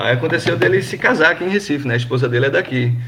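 Noticeable background noise sits under a man who talks at a very fast pace. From Brazil, Pernambuco interior (Gravatá). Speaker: football fan. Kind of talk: casual chat. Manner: halting.

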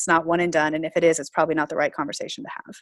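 Someone with an American accent speaks against a quiet background. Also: woman. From US South, Florida. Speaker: pastor. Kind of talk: interview.

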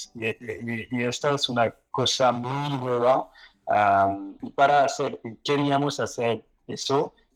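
Speaking at a very slow pace with a French accent, a man keeps a medium pitch and fairly even intonation. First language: French (speaking Spanish). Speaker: exchange founder. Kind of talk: live panel discussion. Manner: halting, many fillers.

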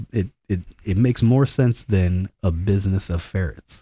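In a very clean recording with a silent background and a dry, close sound with no echo, a man with a fairly low pitch and a dark, mellow tone talks at a moderate pace, somewhat breathy, with ordinary pitch variation. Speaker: podcast host. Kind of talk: casual chat. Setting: studio. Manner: joking, casual.

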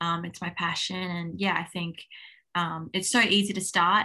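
With an Australian accent, a woman speaks at a moderate pace in a bright, sharp tone. The background is quiet. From Australia (Townsville, Queensland). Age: 20s. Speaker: professional tennis player. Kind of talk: interview.

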